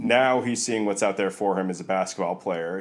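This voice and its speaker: A man with an American accent speaks in a normal speaking voice, his fairly low pitch moving with ordinary variation. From New York. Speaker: basketball scout and podcast co-host. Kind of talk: casual chat.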